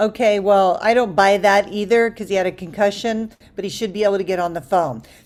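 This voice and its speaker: A woman talks in a plain, everyday voice. Her pace is fairly quick, her pitch medium, with ordinary pitch variation. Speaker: dating coach. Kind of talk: online group coaching class. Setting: group video call. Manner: conversational, many fillers.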